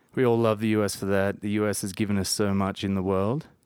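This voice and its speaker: The speaker has an Australian accent and a moderate pace, recorded very cleanly against a silent background with a dry, close sound and no echo. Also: man. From Jervis Bay, New South Wales. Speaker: podcast guest. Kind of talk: casual chat. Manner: laid-back, joking.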